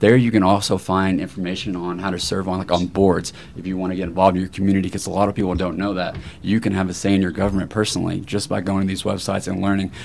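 A man speaks at a very fast pace in a very deep, low pitch. His intonation is monotone and flat, with noticeable background noise. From Tennessee. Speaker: political candidate. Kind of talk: town hall panel discussion.

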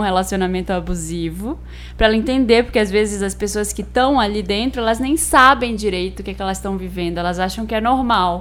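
Speaking in a strong Belém accent, a woman talks at a fairly quick pace with hardly any pauses. Noticeable background noise runs under her voice. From Belém, northern Brazil. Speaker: podcast co-host. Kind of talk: casual chat.

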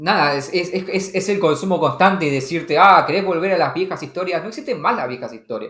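A man's high-pitched voice at a fairly quick pace, with hardly any pauses. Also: ordinary pitch variation. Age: 30s. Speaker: podcast host. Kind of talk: casual chat. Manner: halting, many repetitions.

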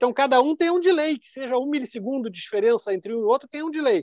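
In a dry, close sound with no echo, a man speaks at an extremely high pitch with ordinary pitch variation. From Rio Grande do Sul, Brazil (Serra region). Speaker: audio engineer. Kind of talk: interview conversation.

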